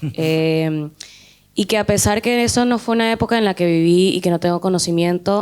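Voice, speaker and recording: A woman speaks at a moderate pace in a fairly low pitch. Her intonation stays fairly even. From not Argentina. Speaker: film student. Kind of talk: audience question. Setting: talk with student audience.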